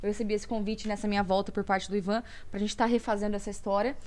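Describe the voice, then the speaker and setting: A woman speaks with a fairly high voice. Her intonation stays fairly even. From Brazil, Campinas (São Paulo state). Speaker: singer. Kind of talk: interview.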